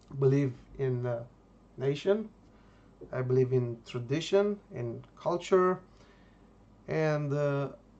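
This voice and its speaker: A very slow delivery in a Romanian accent, broken by long, frequent pauses. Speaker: YouTuber, political commentator. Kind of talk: monologue vlog. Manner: hesitant, many fillers.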